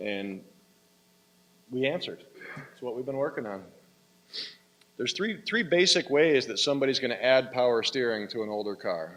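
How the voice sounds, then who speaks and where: Lively in intonation, a man at medium pitch leaves long, frequent pauses. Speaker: sales manager giving a product seminar. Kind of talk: trade seminar presentation. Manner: fast.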